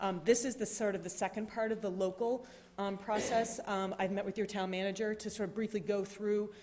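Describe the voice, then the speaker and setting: A medium-pitched woman at a fairly quick pace, monotone and flat, with noticeable background noise. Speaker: regional planner presenting to town board. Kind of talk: public meeting presentation. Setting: town board meeting with audience. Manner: fast.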